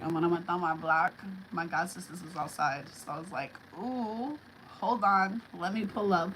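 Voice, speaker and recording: Over noticeable background noise, a woman talks with a New York accent. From New York City. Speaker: livestream host. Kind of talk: casual live chat. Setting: live stream at home, alone. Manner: relaxed, conversational.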